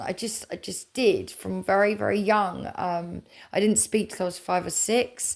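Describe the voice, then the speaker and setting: A woman with an English accent speaks on a very clean recording with a silent background. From England. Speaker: spiritual content creator. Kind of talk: casual chat. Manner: rambling, halting.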